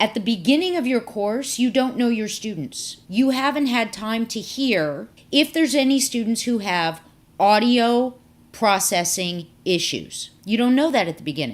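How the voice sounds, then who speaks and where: An unremarkable speaking voice from a woman, fairly high in pitch with lively intonation, at a moderate pace on a very clean recording with a silent background. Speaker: professor. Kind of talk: tutorial.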